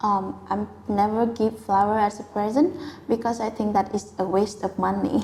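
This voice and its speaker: At a moderate pace, a woman with a Vietnamese accent speaks at a medium pitch with ordinary pitch variation, over noticeable background noise. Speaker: IELTS test candidate. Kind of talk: speaking exam interview. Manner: hesitant, with filler sounds.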